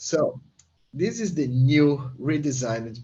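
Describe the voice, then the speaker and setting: A man's voice sounds somewhat breathy, with fairly even intonation. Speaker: software developer. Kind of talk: live product demo.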